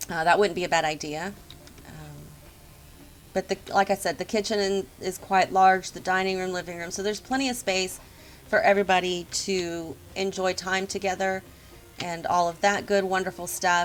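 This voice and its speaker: This woman uses a normal speaking voice with a medium pitch. She keeps a moderate pace and fairly even intonation. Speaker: video game builder and youtuber. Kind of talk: tutorial walkthrough. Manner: casual with frequent ums. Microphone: poor sound quality.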